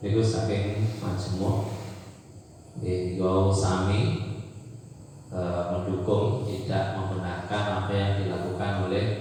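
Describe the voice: A slow, slightly mellow voice with little pitch movement and long, frequent pauses, in strong room echo. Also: man.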